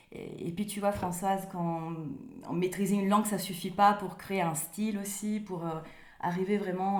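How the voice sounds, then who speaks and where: A woman speaks with an Italian accent at a medium pitch, her intonation monotone and flat. Noticeable background noise and audible room echo surround her. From Italy, Rome. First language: Italian (speaking French). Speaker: author. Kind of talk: interview. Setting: remote call. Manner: halting, many hesitations.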